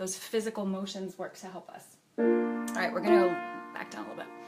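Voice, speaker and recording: A woman is heard with noticeable noise in the background. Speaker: voice teacher. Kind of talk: tutorial. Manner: soft-spoken.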